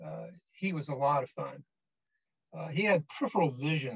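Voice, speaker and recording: The man's voice is somewhat breathy. His pitch is fairly high. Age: 80s+. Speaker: bishop. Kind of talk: memorial tribute speech. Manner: halting, many fillers.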